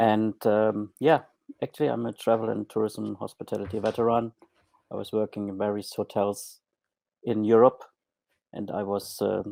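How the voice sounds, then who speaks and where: Using monotone, flat intonation and long, frequent pauses, a man with a German accent and fairly low pitch is heard in a dry, close sound with no echo on a very clean recording with a silent background. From Germany. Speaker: former hotel manager turned online marketer. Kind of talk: podcast interview. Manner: hesitant, many fillers.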